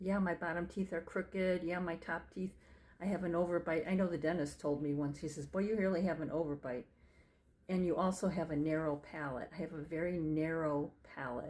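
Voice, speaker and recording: A woman speaks in a normal speaking voice, fairly low in pitch. She talks fairly quickly with fairly even intonation. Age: 60s. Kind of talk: casual talk to camera. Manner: chatty, reflective.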